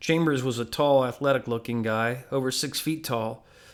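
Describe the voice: The pitch varies in an ordinary way as someone does plain reading aloud.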